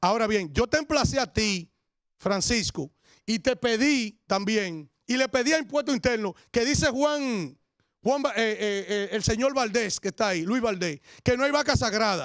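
An animated tone comes through at a fairly slow pace, with a dry sound with no echo and a quiet background. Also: man, high pitch for a man, lively intonation. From Dominican Republic. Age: 40s. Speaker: radio and TV commentator; radio, TV commentator. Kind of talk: denunciation commentary. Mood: indignant, accusatory. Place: studio. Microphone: handheld.

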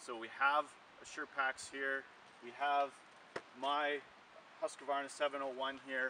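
A man speaks against light background noise. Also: dry sound with no echo. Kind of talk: product demo tutorial. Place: open country. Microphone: camera far.

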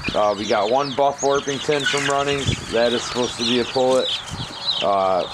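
A man speaks at a moderate pace with ordinary pitch variation while loud background noise fills the clip. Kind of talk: casual vlog chat. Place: home room. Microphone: phone near.

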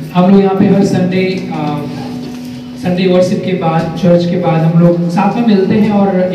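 A man's high pitch and fairly even intonation in strong room echo with light background noise. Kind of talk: informal talk to a group, Hindi-English mix. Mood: warm, earnest. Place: hall. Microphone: camera far.

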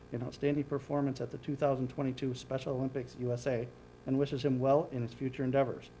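Speaking at a fast pace, a man keeps his pitch mostly level in a dark, mellow tone.

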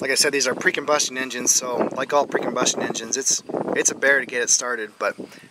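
Over noticeable background noise, a man talks fairly quickly in a monotone, flat delivery. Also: dry sound with no echo. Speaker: farmer fixing his tractor. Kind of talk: tutorial. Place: open country. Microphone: phone near.

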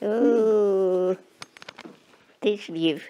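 A dark, mellow tone comes through as a woman talks. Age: 80s+. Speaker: interviewee, robot test user. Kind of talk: interview answer. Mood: warm, fond. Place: home room.

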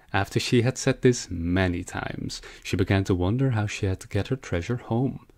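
A man talks in an ordinary speaking voice, fairly low in pitch, with ordinary pitch variation. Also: fairly quick pace. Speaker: audiobook narrator. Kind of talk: fairy-tale audiobook reading, scripted narration. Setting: home recording, solo narration. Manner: gentle, cheerful, steady pace.

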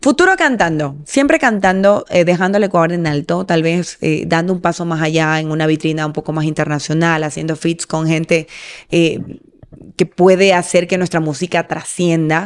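In a quiet background, a woman speaks at a moderate pace with a fairly low pitch and ordinary pitch variation. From Ecuador, Manabí coast (Portoviejo); Manabí, Ecuador. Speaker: singer; interviewee. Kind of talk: interview. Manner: halting, repeats words. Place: home room. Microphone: studio mic.

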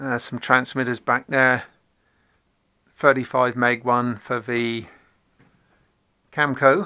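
This man talks at a very slow pace in a monotone, flat delivery. His tone is bright and sharp, and the background is quiet. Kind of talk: casual tour narration. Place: home room. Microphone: phone near.

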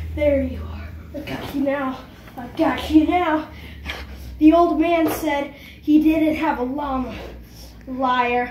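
A cartoonish character voice speaks at a high pitch and a fairly slow pace. Long, frequent pauses break it up, with a slight echo. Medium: puppet.

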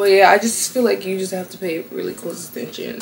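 There is audible room echo as a woman speaks with fairly even intonation.

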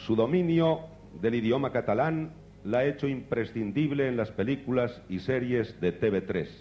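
Over music in the background, a man talks at a fairly slow pace with lively intonation. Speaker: awards presenter. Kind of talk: award ceremony introduction. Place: stage. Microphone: handheld.

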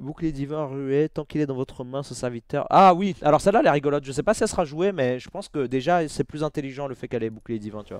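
At a very fast pace with hardly any pauses, a man with a fairly high pitch sounds animated, showing ordinary pitch variation and big swings in loudness, in a dry sound with no echo over a quiet background. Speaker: gaming YouTuber and streamer; gaming YouTuber, streamer. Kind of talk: casual booster-opening commentary. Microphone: headset.

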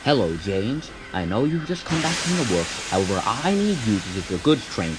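The clip has someone reading aloud in a natural voice.

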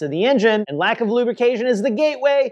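A fairly quick pace and lively intonation over a quiet background. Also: man. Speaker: presenter. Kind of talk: tutorial. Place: garage.

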